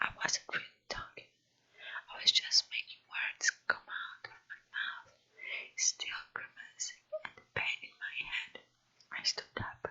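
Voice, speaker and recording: Someone whispers in a Brazilian accent. The pace is very slow. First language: Portuguese. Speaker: non-native English learner practicing reading aloud. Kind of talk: ASMR whispered book reading. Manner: whispered.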